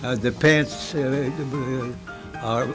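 A man's voice is heard. Behind it, music plays clearly. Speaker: tailor. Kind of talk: interview answer. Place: office.

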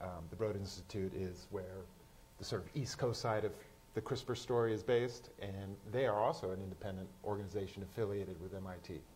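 A man speaks at a fairly quick pace with fairly low pitch and fairly even intonation. His voice is somewhat breathy, with light background noise. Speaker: science journalist. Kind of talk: panel discussion. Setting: stage with audience. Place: stage.

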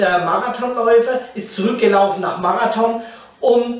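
Audible room echo surrounds a man who speaks at a fairly slow pace. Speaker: pastor teaching a Bible series. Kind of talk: sermon. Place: meeting room.

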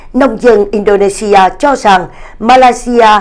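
The speech moves at a fairly slow pace against a quiet background. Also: woman. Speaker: news anchor. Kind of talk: news reading. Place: studio.

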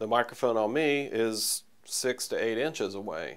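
Nothing much stirs in the quiet background. The man's pitch varies in an ordinary way. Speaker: audio engineer instructor. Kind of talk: tutorial. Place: home room. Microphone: lapel.

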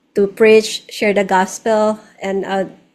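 A woman speaks at a fairly slow pace with monotone, flat intonation. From Philippines. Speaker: singer-songwriter, nurse, missionary; interview guest. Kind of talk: interview answer. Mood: warm, grateful. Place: home room. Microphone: studio mic.

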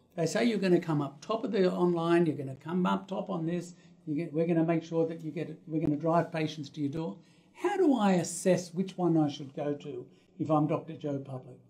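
A man with an Australian accent talks at a fairly quick pace, his high-pitched voice dark and mellow in tone. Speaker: dentist and practice consultant. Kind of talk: interview. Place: office.

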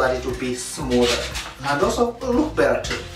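The speech moves at a moderate pace. Clear music plays in the background. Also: man. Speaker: home DIY vlogger. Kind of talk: casual tutorial vlog. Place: bathroom. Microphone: camera far.

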